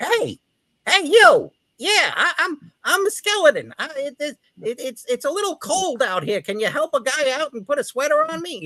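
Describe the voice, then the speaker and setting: This is a put-on character voice set at a high pitch. Its pitch swings are very wide. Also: moderate pace. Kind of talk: casual. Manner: sloppy, stumbling.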